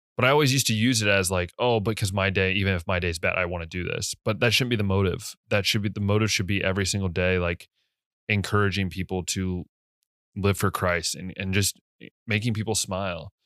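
In a normal speaking voice with an American accent, the speaker goes at a fairly quick pace with fairly even intonation, in a dry, close sound with no echo on a very clean recording with a silent background. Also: man, fairly low pitch for a man. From US. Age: 20s. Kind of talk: casual monologue.

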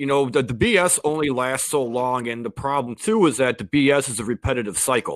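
Speaking in an ordinary speaking voice with an American accent, a man talks at a medium pitch and a fairly quick pace with ordinary pitch variation and hardly any pauses, the sound dry and close with no echo. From Chicago. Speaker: podcast host guest. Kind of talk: casual interview.

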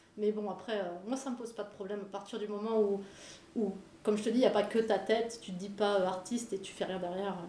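At a very fast pace, the speech runs in a monotone, flat intonation with audible room echo. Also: woman, medium pitch for a woman, big swings in loudness. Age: 40s. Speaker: illustrator and muralist. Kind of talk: interview.

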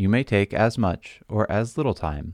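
A man's ordinary speaking voice, fairly low-pitched with lively intonation, in a very clean recording with a silent background and a dry, close sound with no echo. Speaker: pastor leading prayer. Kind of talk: scripture reading within guided Lectio Divina prayer.

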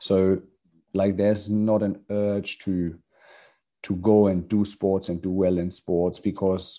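A man with a fairly low pitch and a dark, mellow tone speaks with fairly even intonation over a quiet background. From Hamburg, Germany. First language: German. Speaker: judo coach. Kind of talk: casual interview chat. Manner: halting, with repeated words.

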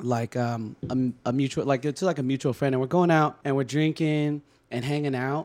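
A man with an American accent speaks at a moderate pace in a fairly high pitch, his intonation fairly even. He has an unremarkable speaking voice, caught in a very clean recording over a silent background. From California. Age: 30s. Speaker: podcast guest. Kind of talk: casual chat.

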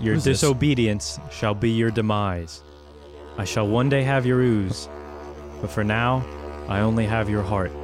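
A man performs a put-on character voice that is booming and fairly low in pitch, moving at a moderate pace. Clear music plays in the background. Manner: menacing.

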